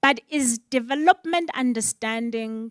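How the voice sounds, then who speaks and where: In a very clean recording with a silent background and a dry, close sound with no echo, a woman with a South African accent speaks with ordinary pitch variation. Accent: South African (Xhosa) English. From Eastern Cape, South Africa. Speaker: panel moderator. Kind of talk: panel discussion.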